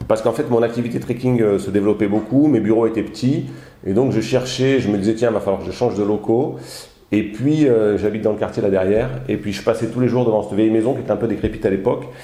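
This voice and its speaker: A man talks at a very fast pace in a medium pitch with a dark, mellow tone and fairly even intonation, and audible room echo surrounds him. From southern France, Alpes-de-Haute-Provence. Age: 40s. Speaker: hotel owner and trekking guide. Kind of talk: casual interview. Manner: hesitant, many fillers.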